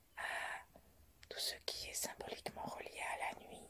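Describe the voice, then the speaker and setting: Whispering at a very slow pace, a woman speaks in a calm tone against noticeable background noise. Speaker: guided meditation teacher. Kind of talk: whispered guided meditation. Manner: whispered, slow, calm.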